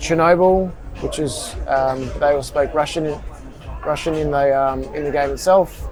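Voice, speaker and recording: Amid audible room echo and noticeable background noise, a man's speech moves along fairly slowly. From Australia. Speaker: tourist. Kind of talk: casual interview.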